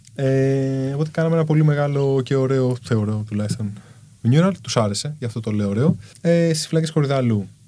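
A man speaks at a moderate pace with a medium pitch, a dark, mellow tone and ordinary pitch variation. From Greece, Kallithea (Athens). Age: 30s. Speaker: street artist. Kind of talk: casual chat.

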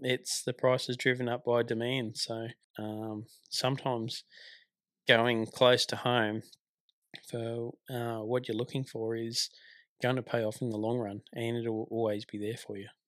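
With an Australian accent, a man talks at a fairly slow pace in a monotone, flat delivery at medium pitch, captured on a very clean recording against a silent background. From Tasmania, Australia. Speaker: truck driver and army veteran. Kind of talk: casual interview. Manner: hesitant, frequent fillers.

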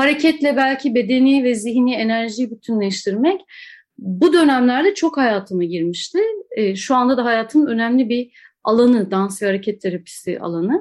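A woman talks at a moderate pace with lively intonation and a high pitch. The background is quiet. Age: 40s. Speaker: dancer and dance professor. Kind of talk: interview conversation.

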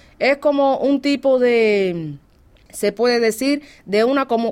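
A woman's fairly high voice carries lively intonation. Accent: Cuban. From Cuba. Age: 40s. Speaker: Cuban immigrant interviewee. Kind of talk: interview. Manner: animated.

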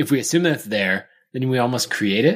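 Captured in a very clean recording with a silent background, a man with an American accent talks at a fairly quick pace in an unremarkable speaking voice, medium in pitch with ordinary pitch variation. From Idaho, near Boise. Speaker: podcast co-host, software entrepreneur. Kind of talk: casual chat.

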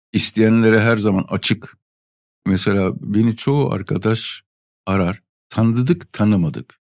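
A man with a normal speaking voice, fairly low in pitch, with ordinary pitch variation, a fairly slow pace and very even loudness, in a dry, close sound with no echo. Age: 50s. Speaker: veteran motorcyclist. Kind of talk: casual chat. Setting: studio.

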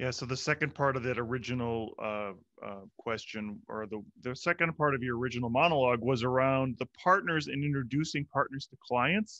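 A man speaks at a fairly quick pace with a bright, sharp tone and a medium pitch. The sound is dry and close with no echo, against a quiet background. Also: ordinary pitch variation. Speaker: podcast host. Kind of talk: casual interview.

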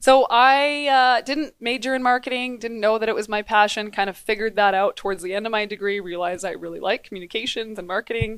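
A woman with a Canadian accent speaks at a very fast pace with hardly any pauses, her pitch fairly high. The recording is very clean, with a silent background. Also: ordinary pitch variation. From western Canada. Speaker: business association director. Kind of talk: interview. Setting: in-person studio.

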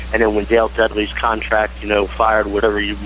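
This man talks very fast in a fairly low voice, swinging his pitch very widely. Background noise is noticeable throughout. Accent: American. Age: 50s. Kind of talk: casual chat.

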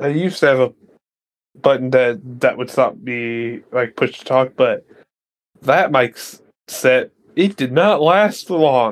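A man with an American accent speaks at a medium pitch, his pitch rising and falling in an ordinary way. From Ohio. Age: 20s. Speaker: role-playing game player. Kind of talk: tabletop role-play session.

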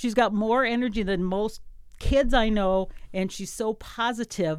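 In an ordinary speaking voice, a woman speaks at a fairly high pitch with ordinary variation, on a very clean recording with a silent background. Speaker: radio station operations director and radio host. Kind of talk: casual interview. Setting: radio studio.

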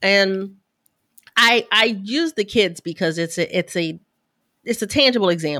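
A woman with a medium-pitched voice uses lively intonation at a fairly slow pace, with long, frequent pauses. The sound is dry and close with no echo. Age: 40s. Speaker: business coach and podcast guest. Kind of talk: casual conversation.

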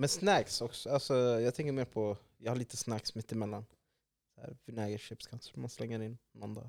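A man with a normal speaking voice talks at a moderate pace in a medium pitch, with fairly even intonation and a dry, close sound with no echo. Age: 20s. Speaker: podcast host. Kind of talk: casual chat.

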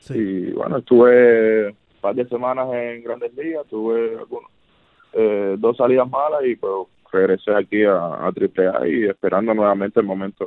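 A man's unremarkable speaking voice at medium pitch, with ordinary pitch variation and a fairly slow pace. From Cuba (Havana). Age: 30s. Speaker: professional baseball pitcher. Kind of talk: interview.

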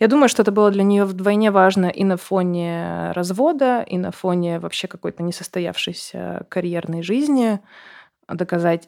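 The clip has an unremarkable speaking voice from a woman at medium pitch. She keeps a moderate pace and ordinary pitch variation on a very clean recording with a silent background. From Russia, Siberia (Novosibirsk). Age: 30s. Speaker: journalist and entrepreneur. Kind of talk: interview testimony.

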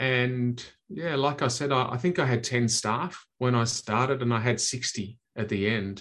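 Here a man with an Australian accent speaks at a moderate pace. His pitch varies in an ordinary way. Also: quiet background. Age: 50s. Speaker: sales trainer. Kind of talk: interview. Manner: halting, frequent repetitions.

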